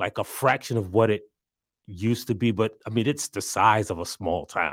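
A man speaks in a normal speaking voice with an American accent, at a medium pitch and moderate pace. The recording is very clean, with a silent background. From South Carolina. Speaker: journalist and writer. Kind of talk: casual interview.

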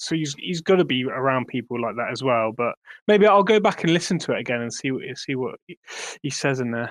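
A man at a medium pitch, with lively intonation and a fairly quick pace. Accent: English. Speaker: crypto project representative. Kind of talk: casual chat. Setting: online audio room.

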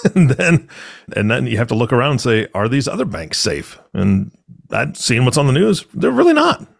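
A medium-pitched man's voice shows vocal fry and very wide pitch swings. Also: moderate pace. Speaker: podcast host. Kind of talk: casual chat. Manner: animated.

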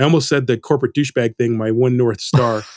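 A man with a normal speaking voice talks at a medium pitch with fairly even intonation. The sound is dry and close with no echo, on a very clean recording with a silent background. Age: 50s. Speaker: motion designer learning character animation. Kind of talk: casual interview conversation.

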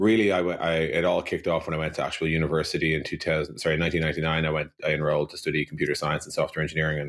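In a very clean recording with a silent background, a man speaks with a Dublin accent. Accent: Irish (Dublin). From Ireland, Dublin. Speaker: software company co-founder. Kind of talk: interview.

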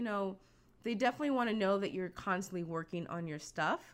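Heard in a very clean recording with a silent background, a woman with an American accent uses a plain, everyday voice, medium in pitch with lively intonation. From US East Coast, Virginia Beach, Virginia. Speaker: animation studio recruiting coordinator. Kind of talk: interview.

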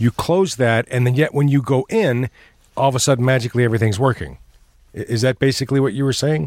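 A man speaks very fast at a medium pitch, with ordinary pitch variation, very even loudness, and a dry, close sound with no echo. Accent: American. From Allen Park, Michigan. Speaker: tech expert.

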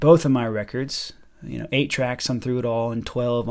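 An unremarkable speaking voice from a man with an American accent, medium pitch and a moderate pace. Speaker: pianist and composer. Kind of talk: casual interview conversation.

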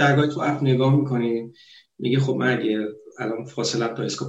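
This is a plain, everyday voice from a man. Its medium pitch shows ordinary pitch variation. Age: 30s. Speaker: computer programmer, Iranian expat in Norway. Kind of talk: casual chat.

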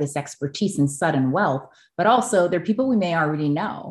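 A woman is talking at a moderate pace. Nothing much can be heard behind her. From Hawaii (Oahu). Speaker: financial advisor. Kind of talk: interview.

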